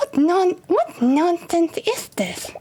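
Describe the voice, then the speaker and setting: Squeaky and extremely high, this is a put-on character voice. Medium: game stream. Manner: haughty, pompous.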